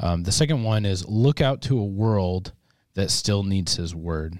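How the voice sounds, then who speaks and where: With an American accent, this man has a fairly low pitch, a dark, mellow tone and ordinary pitch variation, captured in a very clean recording against a silent background. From US Midwest. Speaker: podcast host. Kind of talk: casual chat.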